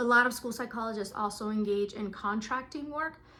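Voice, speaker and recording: A woman with a Spanish accent and fairly high pitch speaks at a moderate pace on a very clean recording with a silent background. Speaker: school psychologist. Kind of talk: informational talk. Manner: casual, with fillers.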